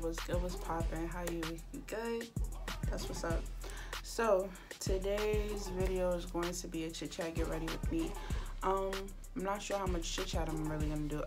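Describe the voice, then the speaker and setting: Against clear music in the background, a woman speaks at a moderate pace with long, frequent pauses. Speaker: beauty vlogger. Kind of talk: casual talk to camera. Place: home room. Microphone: phone near.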